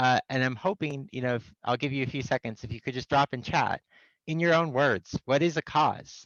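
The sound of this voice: At a fairly quick pace, a man talks at medium pitch with a fairly bright tone and ordinary pitch variation, in a dry, close sound with no echo.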